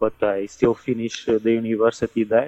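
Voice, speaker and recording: Over music in the background, a man with a medium pitch speaks at a fairly quick pace. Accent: Portuguese. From Portugal. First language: Portuguese. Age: 20s. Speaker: migrant warehouse worker. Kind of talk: interview. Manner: halting.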